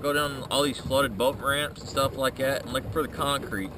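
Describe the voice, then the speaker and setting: Against noticeable background noise, a man speaks at a fairly quick pace, the sound dry with no echo. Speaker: angler vlogger. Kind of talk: casual vlog chat. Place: boat. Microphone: phone near.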